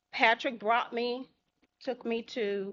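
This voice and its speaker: A woman speaks with a Southern US accent. Her intonation stays fairly even. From Holly Springs, Mississippi. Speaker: public commenter at city council meeting. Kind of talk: public comment. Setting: city council meeting.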